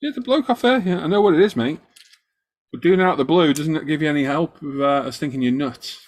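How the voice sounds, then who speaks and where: Using lively intonation, a man with a fairly high pitch talks at a very fast pace. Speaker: model-making live streamer. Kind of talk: casual chat. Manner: loud; animated.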